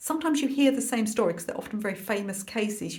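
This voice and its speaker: Clear background noise can be heard. The speaker's pitch moves in an ordinary way. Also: woman. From London. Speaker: art teacher and YouTuber. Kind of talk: casual chat to camera.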